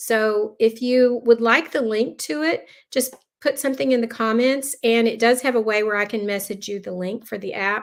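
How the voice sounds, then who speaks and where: With a Texan accent, a woman speaks in a fairly high pitch with ordinary pitch variation, on a very clean recording with a silent background. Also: moderate pace. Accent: Texan American. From Texas. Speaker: lifestyle planning vlogger. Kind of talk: live stream tutorial. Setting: live stream video. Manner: casual, chatty.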